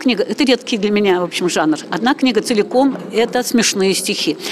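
Amid noticeable background noise, a woman with a fairly high pitch speaks at a fairly quick pace with lively intonation. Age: 70s. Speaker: writer and amateur singer. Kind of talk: interview.

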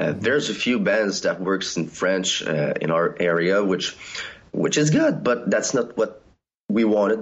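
Using lively intonation, a man with an ordinary speaking voice and a fairly low pitch talks at a fairly slow pace. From Canada. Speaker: band member. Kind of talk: casual interview.

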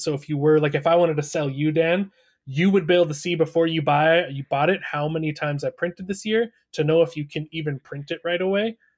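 An unremarkable speaking voice from a man, fairly high-pitched, at a fairly quick pace with fairly even intonation, on a very clean recording over a silent background. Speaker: podcast co-host. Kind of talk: casual podcast discussion.

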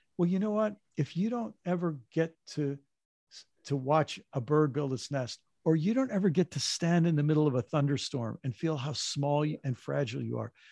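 Somewhat breathy and dark, mellow in tone, a man speaks at a fairly high pitch and moderate pace with lively intonation, in a dry, close sound with no echo. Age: 60s. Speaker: author and former pastor. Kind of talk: interview conversation.

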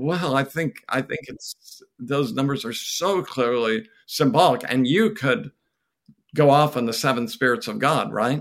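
At a fairly slow pace, a man with a fairly high pitch and a plain, everyday voice speaks with lively intonation. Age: 60s. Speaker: theologian. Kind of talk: casual interview.

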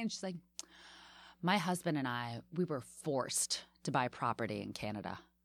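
A woman with an American accent at a fairly quick pace, with long, frequent pauses. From Washington, D.C. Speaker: comedian and podcast host. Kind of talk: casual interview chat.

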